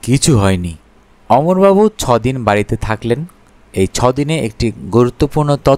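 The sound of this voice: Someone reads a passage in an unforced reading voice.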